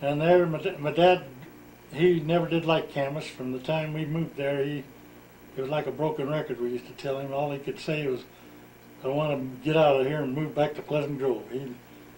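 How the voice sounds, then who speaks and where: Somewhat breathy, with an American accent, a man talks at a fairly high pitch and a fairly quick pace in a monotone, flat intonation. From Utah, US. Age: 70s. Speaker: retired farmer telling his life story. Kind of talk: oral history interview.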